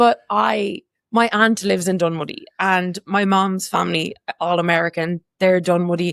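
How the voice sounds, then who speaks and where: A woman with an Irish accent speaks at a medium pitch with very even loudness. The sound is dry and close, with no echo. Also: ordinary pitch variation, moderate pace. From Ireland. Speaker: community walking group co-founder. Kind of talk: casual chat.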